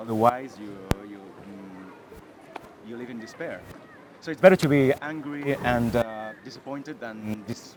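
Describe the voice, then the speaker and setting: A man at a fairly slow pace, with big swings in loudness, ordinary pitch variation and noticeable background noise. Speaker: filmmaker. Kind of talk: masterclass talk. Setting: stage with audience. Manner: halting, many fillers.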